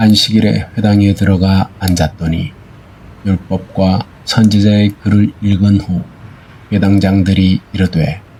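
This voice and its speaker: Very slow delivery with fairly even intonation. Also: man, fairly low pitch for a man. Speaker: Bible reader. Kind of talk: Bible reading for sleep. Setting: rain and thunder sound background.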